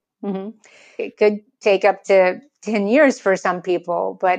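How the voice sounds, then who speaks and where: Against a quiet background, a woman with an American accent and an unremarkable speaking voice talks at medium pitch and a fairly slow pace. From United States. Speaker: writer and thought leadership consultant. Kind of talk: interview.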